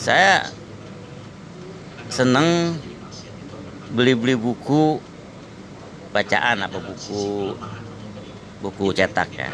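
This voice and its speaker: With lively intonation, a medium-pitched man speaks very slowly, leaving long, frequent pauses. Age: 60s. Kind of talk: public speech.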